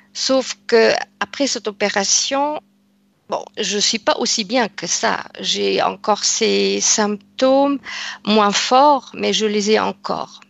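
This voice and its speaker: In a dry recording with no echo, a woman speaks at a very slow pace. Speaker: client. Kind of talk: personal testimony. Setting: video call. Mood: calm, slightly hesitant. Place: home room. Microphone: headset.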